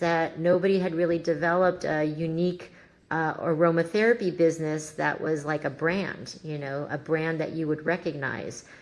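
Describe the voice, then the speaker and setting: Here is a woman with an unremarkable speaking voice. She moves at a moderate pace, and her pitch varies in an ordinary way. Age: 60s. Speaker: entrepreneur, founder of a wellness brand. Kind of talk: podcast interview.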